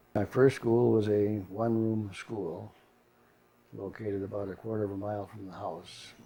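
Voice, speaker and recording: Man in an Upper Midwest accent with a fairly low pitch, dark, mellow tone, fairly even intonation, big swings in loudness and a moderate pace. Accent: Upper Midwest American. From North Dakota. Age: 80s+. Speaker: retired grandfather. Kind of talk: oral history interview. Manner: halting.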